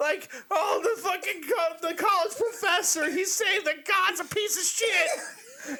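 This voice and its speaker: This man's voice is extremely high, bright and sharp, raised and projected. He speaks very slowly with ordinary pitch variation. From Kentucky. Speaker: podcast host. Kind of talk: casual chat. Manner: animated.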